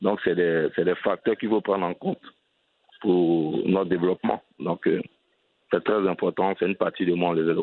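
At a moderate pace, a man talks with very even loudness and long, frequent pauses. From Côte d'Ivoire, Abidjan. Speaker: entrepreneur and NGO head. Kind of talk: interview.

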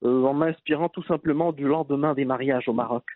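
A man with a fairly high pitch talks with ordinary pitch variation. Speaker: entrepreneur. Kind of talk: interview. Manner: halting.

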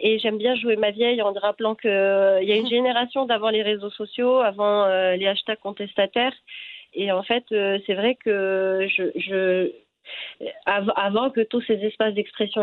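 Fairly even intonation, a fairly slow pace and very even loudness. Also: woman. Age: 30s. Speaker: photographer and artist. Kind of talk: interview. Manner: halting.

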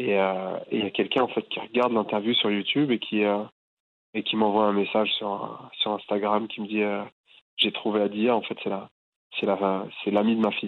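Pausing long and often, a man with a fairly low pitch speaks at a moderate pace in a monotone, flat intonation. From France, Boulogne-Billancourt near Paris. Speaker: artist, calligrapher. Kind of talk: interview. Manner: halting, many repetitions and fillers.

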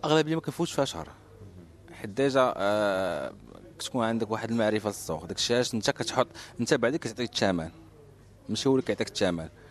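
The delivery comes at a very fast pace. Long pauses break it up frequently. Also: man, medium pitch for a man, lively intonation. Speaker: real estate agent. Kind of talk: interview. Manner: casual.

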